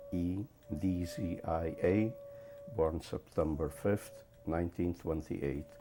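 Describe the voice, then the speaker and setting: Music plays in the background as a man with a very deep, low pitch speaks at a very slow pace with long, frequent pauses. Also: ordinary pitch variation. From Poland. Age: 70s. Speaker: Holocaust survivor. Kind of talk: testimony interview. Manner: halting, with fillers.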